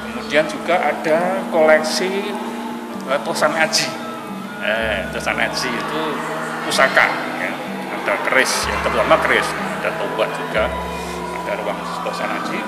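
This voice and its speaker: Over loud background music, a man speaks at a moderate pace with long, frequent pauses. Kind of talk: interview answer. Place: hall.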